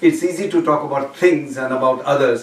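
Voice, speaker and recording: A man speaks at a moderate pace with ordinary pitch variation. Noticeable background noise can be heard. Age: 60s. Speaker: speaking club member. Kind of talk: public speech evaluation.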